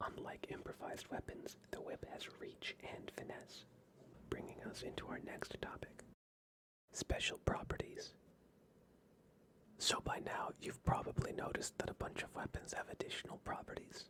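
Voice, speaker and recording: Someone whispers at a moderate pace. Long, frequent pauses break up the speech. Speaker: D&D guide presenter. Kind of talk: whispered ASMR-style tabletop game guide narration. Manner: whispered, soft-spoken.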